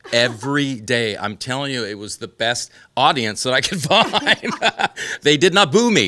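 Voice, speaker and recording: A man's plain, everyday voice at a fairly slow pace, with lively intonation. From Southern California. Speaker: country singer. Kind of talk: interview.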